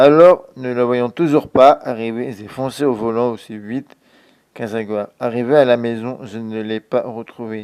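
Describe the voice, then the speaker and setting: Fairly slow and fairly even in intonation, a man speaks at a medium pitch in an unremarkable speaking voice. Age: 20s. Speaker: storyteller. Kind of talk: reading aloud.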